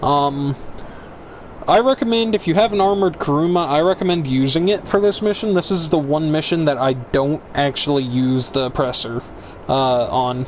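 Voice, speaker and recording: Against noticeable background noise, a man speaks at a moderate pace in a fairly high pitch with lively intonation. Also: very even loudness. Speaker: gaming YouTuber. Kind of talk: gameplay tutorial. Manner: loud, hyper.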